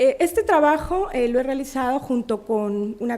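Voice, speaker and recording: Her tone is dark and mellow. This woman speaks at a high pitch with lively intonation. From Mexico, Puebla. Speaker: academic researcher. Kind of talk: conference talk. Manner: halting, many fillers.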